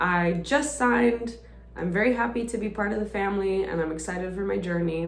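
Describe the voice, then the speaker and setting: Music plays in the background as a woman with a medium pitch speaks amid audible room echo. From Estonia. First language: Russian. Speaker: singer-songwriter. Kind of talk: casual Q&A self-introduction.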